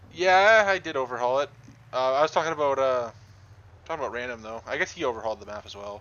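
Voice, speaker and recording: A man with a strong Canadian accent talks very fast at a medium pitch. His intonation is lively, and his loudness swings widely. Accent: thick Canadian. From Southern Ontario, Canada. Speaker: game streamer and map modder. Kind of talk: live gameplay stream chat. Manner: casual, frequent filler words.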